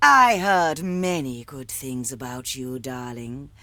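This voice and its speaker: Someone uses a put-on character voice at a low-to-middle pitch and a fairly slow pace. The recording is very clean, with a silent background. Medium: video game. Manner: genteel, condescending charm.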